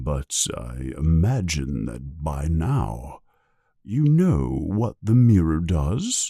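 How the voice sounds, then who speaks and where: Pitched very deep and low, a man speaks very slowly in a put-on character voice. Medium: read story. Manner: calm, gentle, measured.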